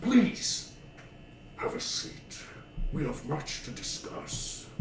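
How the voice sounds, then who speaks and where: A man's put-on character voice, high-pitched and very slow, with slight echo and loud background noise. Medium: actual play. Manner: polite, cultured, composed.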